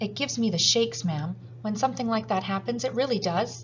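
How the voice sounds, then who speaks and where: A woman's shaky, put-on character voice at medium pitch, very fast, over clear background noise. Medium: read story. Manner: deferential, trembling.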